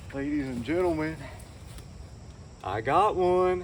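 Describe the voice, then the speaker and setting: A man talks with lively intonation. Room echo is audible. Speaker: outdoor vlogger. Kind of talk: solo vlog narration. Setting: outdoors. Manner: hushed.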